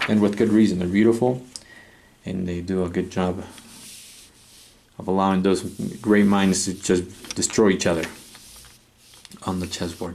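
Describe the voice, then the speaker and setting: Audible room echo surrounds a man with a fairly low pitch who talks at a fairly quick pace. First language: not English. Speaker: chess set reviewer. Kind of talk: product review. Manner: hesitant, with many fillers.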